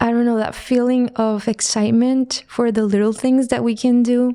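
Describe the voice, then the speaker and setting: Speaking with a Spanish accent, a woman has a fairly high pitch, a dark, mellow tone and monotone, flat intonation. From Mexico. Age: 30s. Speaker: visual artist. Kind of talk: podcast interview.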